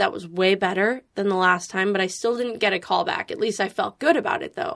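Captured in a very clean recording with a silent background, a woman uses an ordinary speaking voice at medium pitch, with ordinary pitch variation and a moderate pace. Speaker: social media creator and actor. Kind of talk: casual chat. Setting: studio.

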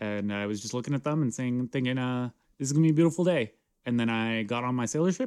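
The background is quiet while a person reads aloud in a natural voice.

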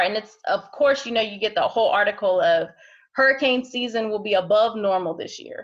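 With a normal speaking voice and an American accent, a woman speaks at a fairly quick pace in a fairly high pitch with lively intonation. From Ohio. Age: 30s. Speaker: healthcare worker and mother. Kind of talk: interview. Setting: video call.

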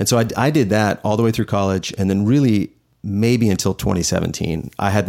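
A man's fairly low-pitched, a normal speaking voice with an American accent, moderate pace and ordinary pitch variation, on a very clean recording with a silent background. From Houston, Texas. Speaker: design team lead. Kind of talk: casual chat. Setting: studio, in-person video recording.

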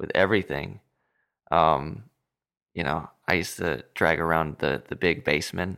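A man with an American accent speaks in a very deep, low pitch with vocal fry, a bright, sharp tone, ordinary pitch variation and long, frequent pauses, in a very clean recording with a silent background. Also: moderate pace. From Southern California. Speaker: musician. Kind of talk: casual chat.

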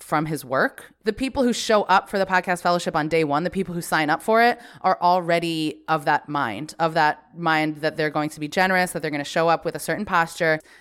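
Talking at a fairly quick pace with a US Northeastern accent, a woman with a fairly low voice shows ordinary pitch variation on a very clean recording with a silent background. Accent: US Northeast. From US Northeast, Connecticut. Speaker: podcast producer. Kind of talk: interview conversation.

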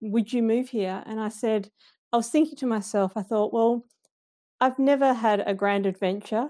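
A woman with an Australian accent and a fairly high pitch speaks at a moderate pace with fairly even intonation, in a very clean recording with a silent background. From Western Australia, Perth suburbs. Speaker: nature journaling community founder. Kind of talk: casual interview chat. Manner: halting, many fillers and restarts.

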